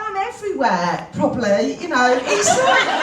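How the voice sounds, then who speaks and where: Loud and high-pitched, a woman speaks at a moderate pace with very wide pitch swings, over noticeable background noise and audible room echo. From Birmingham, England. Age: 50s. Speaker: network marketing speaker. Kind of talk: motivational talk. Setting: stage with audience. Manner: animated.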